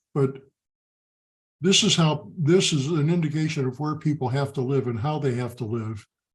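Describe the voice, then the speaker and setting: A somewhat breathy man talks at a moderate pace in a fairly high pitch. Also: ordinary pitch variation. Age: 70s. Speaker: father of pro football players. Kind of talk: interview.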